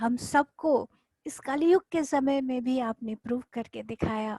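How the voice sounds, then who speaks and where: A soft-spoken woman talks at a high pitch with ordinary pitch variation, in a dry, close sound with no echo. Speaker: spiritual teacher. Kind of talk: guided meditation. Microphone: too quiet.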